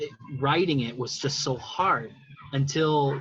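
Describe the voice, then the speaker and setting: A man's voice, fairly high in pitch, comes through noticeable background noise. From Puerto Rican family. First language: ASL (English is third, after Spanish). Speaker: poet. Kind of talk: interview. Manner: halting, many fillers.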